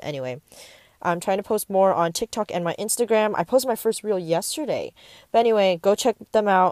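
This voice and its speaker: A woman speaks with a Californian accent. The recording is very clean, with a silent background and a dry, close sound free of echo. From US West Coast, San Francisco Bay Area. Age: young. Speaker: podcaster and YouTuber. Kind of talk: casual monologue. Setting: outdoors in a park. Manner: hesitant, many fillers.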